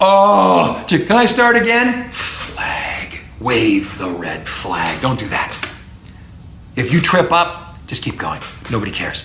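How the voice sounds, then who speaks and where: Very slow speech with very wide pitch swings, audible room echo and noticeable background noise. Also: man, high pitch for a man. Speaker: professor. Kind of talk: lecture. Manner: animated.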